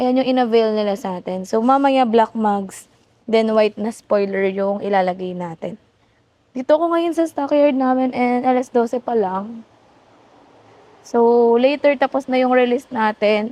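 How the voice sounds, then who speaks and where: A woman with a fairly high pitch and a dark, mellow tone speaks at a moderate pace with ordinary pitch variation. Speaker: car sales executive. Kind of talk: vlog. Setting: car stockyard.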